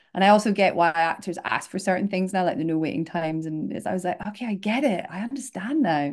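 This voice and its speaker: A woman with a Scottish accent, medium pitch and lively intonation, at a very fast pace with hardly any pauses. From north-east Scotland. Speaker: casting director. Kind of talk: interview answer.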